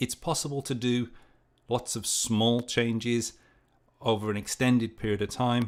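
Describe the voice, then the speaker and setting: The speech has monotone, flat intonation, broken by long, frequent pauses. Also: man. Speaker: project management youtuber. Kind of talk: livestream Q&A. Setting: livestream. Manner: hesitant, many fillers.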